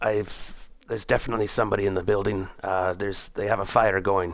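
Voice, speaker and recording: A man's raspy, put-on character voice, fairly low in pitch, monotone and flat, at a very fast pace. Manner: muttering, hushed.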